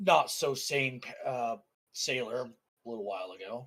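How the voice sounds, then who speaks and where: A man puts on a raspy character voice at a medium pitch. He speaks at a moderate pace with ordinary pitch variation. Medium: actual play. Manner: dry, laconic.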